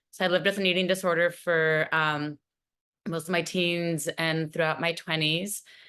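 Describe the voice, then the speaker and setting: Against a quiet background, a woman speaks in a bright, sharp tone at a fairly low pitch with fairly even intonation. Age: 40s. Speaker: eating disorder recovery panelist. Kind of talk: personal testimony on virtual panel.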